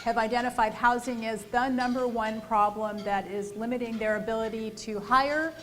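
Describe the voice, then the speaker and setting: Moderate pace and fairly even intonation amid audible room echo. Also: woman. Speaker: housing policy panelist. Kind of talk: panel presentation. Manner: loud.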